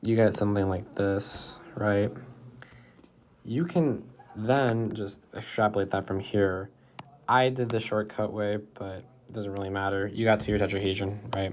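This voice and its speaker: Here a man uses a normal speaking voice with a fairly low pitch. His pace is fairly slow and his intonation fairly even. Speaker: math tutor. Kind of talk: tutorial. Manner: casual, conversational.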